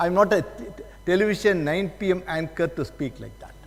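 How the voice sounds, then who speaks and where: With a South Indian accent, a man speaks at a moderate pace in a high pitch. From South India, Tamil Nadu. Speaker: judge and guest lecturer. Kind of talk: lecture.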